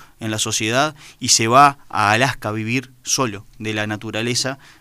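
A bright, sharp tone with fairly even intonation, on a very clean recording against a silent background. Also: man. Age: 30s. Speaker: radio host. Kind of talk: radio show.

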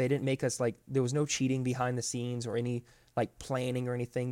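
Speaking at a fairly quick pace with an American accent, a man has an ordinary speaking voice at medium pitch, recorded very clean with a silent background and a dry, close sound with no echo. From Florida. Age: 20s. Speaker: ultra runner and adventure racer. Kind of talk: casual interview.

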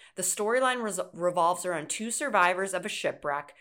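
With an ordinary speaking voice and ordinary pitch variation, a woman talks at a fairly quick pace on a very clean recording with a silent background. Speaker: podcast host. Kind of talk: casual chat.

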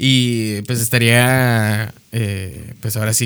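On a very clean recording with a silent background, a man speaks at medium pitch with monotone, flat intonation. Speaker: podcast co-host. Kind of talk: casual chat.

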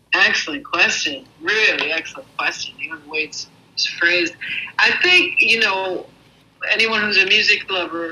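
A woman with an American accent at a moderate pace, noticeable background noise behind her. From US Northeast (Brooklyn, New York; later Rochester). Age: 50s. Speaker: jazz and blues singer. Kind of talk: interview. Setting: call.

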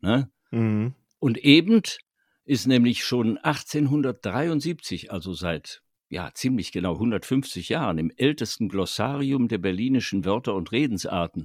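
In a very clean recording with a silent background and a dry, close sound with no echo, a man speaks at a very slow pace, medium in pitch with lively intonation. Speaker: podcast co-host, voice actor and writer. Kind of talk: casual chat.

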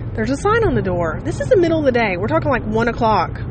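The recording has audible room echo and noticeable background noise. The speaker is a woman. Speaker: podcaster. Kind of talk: casual monologue. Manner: rambling with fillers.

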